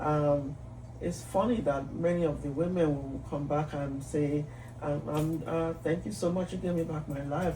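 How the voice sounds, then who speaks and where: A woman talks at a moderate pace in a very deep, low pitch with fairly even intonation. Noticeable background noise and audible room echo fill the recording. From Nigeria. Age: 60s. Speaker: psychiatrist and physician. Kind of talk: interview conversation.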